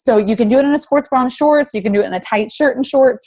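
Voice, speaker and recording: A woman talks at a very fast pace with an animated tone and lively intonation, recorded with a dry, close sound and no echo. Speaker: fitness coach. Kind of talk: tutorial.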